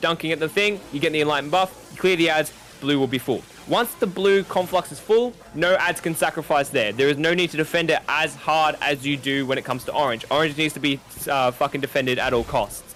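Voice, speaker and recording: The voice has an Australian accent, a fairly quick pace, and very even loudness. Pitch varies in an ordinary way over noticeable background noise. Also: man, fairly high pitch for a man. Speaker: gamer teaching a raid. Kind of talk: tutorial. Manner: stuttering today.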